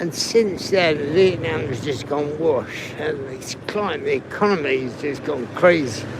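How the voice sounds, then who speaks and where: Through noticeable background noise, a man with a fairly high voice speaks at a fairly slow pace with ordinary pitch variation and hardly any pauses. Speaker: travel livestreamer. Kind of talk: live stream walking tour. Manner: quiet.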